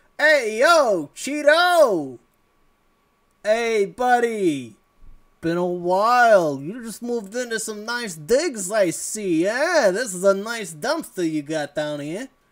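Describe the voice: Putting on a character voice, a man talks fairly slowly with a high pitch.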